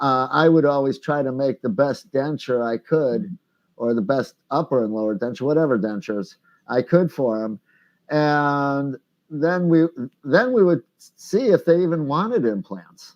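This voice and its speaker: The man uses a normal speaking voice at a fairly high pitch. He goes at a fairly slow pace with lively intonation. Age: 60s. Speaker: denture professional and product inventor. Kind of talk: interview answers.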